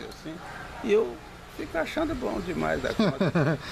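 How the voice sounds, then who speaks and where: A man talks at a moderate pace. Both audible room echo and noticeable background noise come through. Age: 70s. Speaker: retired radio announcer. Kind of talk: interview.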